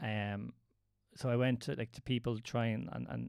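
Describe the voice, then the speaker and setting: A man with an Irish accent and fairly even intonation, on a very clean recording with a silent background. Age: 30s. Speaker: movement coach. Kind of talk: casual chat.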